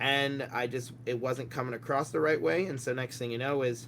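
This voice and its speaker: Fairly quick speech with an American accent. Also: man. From United States. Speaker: miniature painting teacher. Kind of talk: podcast interview. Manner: loud; animated.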